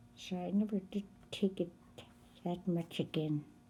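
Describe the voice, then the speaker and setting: A woman at medium pitch talks at a fairly slow pace in a dark, mellow, somewhat breathy tone. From northern Canada (Fort McPherson, NWT). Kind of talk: oral history interview. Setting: recorded interview on camera.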